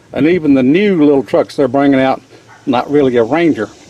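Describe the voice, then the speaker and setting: Lively intonation comes through a dry, close recording with no echo, along with noticeable background noise. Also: man. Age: 60s. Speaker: hobby machinist and home mechanic. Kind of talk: casual DIY repair narration.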